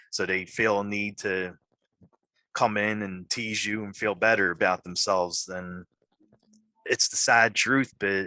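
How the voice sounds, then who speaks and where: A man with a fairly low pitch and a bright, sharp tone speaks at a fairly slow pace in a monotone, flat intonation, with a dry, close sound with no echo and a quiet background. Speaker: podcast host and horror actor. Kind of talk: interview. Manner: halting, repeats words.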